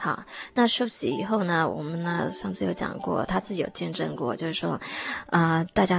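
A woman with a fairly low pitch talks at a moderate pace against noticeable background noise. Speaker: English teacher, church member. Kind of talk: personal testimony interview. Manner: halting, many fillers.

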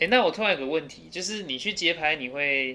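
A man with a high pitch, lively intonation and a fairly quick pace. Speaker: university student. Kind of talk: casual chat.

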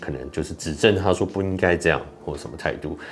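A man's voice, very deep and low in pitch. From Taiwan. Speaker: YouTuber and podcaster. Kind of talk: solo commentary podcast. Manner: halting, many fillers.

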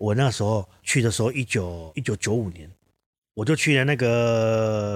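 Recorded very cleanly over a silent background, a man of medium pitch speaks at a fairly slow pace with ordinary pitch variation. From southern Taiwan, Kaohsiung. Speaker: ceramic artist and teacher. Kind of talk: casual interview chat.

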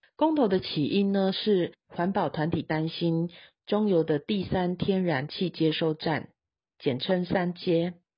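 With a Taiwanese accent, a woman speaks at a fairly slow pace in a somewhat breathy, fairly low voice with lively intonation. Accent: Taiwanese Mandarin. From Taiwan, Taichung. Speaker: news podcast host. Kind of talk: news reading.

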